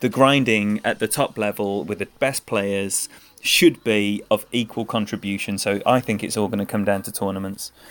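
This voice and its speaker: A man speaks with an English accent. His voice is fairly low in pitch. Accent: proper English. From England. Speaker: game streamer. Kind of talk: live gaming stream commentary. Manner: animated.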